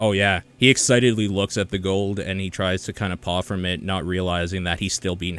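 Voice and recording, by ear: The speaker is reading aloud in a natural voice.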